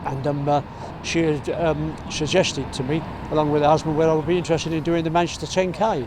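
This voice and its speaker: There is noticeable background noise behind this man. He talks at a very fast pace with fairly even intonation. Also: fairly high pitch for a man. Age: 70s. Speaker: charity runner. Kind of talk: interview answer.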